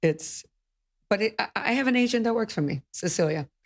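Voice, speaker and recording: The speaker is a woman. Her sound is dry and close, without any echo. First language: not English. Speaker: real estate broker. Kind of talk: podcast interview.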